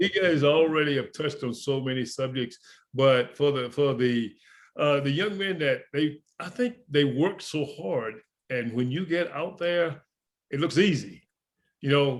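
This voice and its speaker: Speaking with a Southern US accent, a man uses a fairly high pitch, ordinary pitch variation and a moderate pace. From US South. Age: 60s. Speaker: retired professional baseball player. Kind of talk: panel discussion.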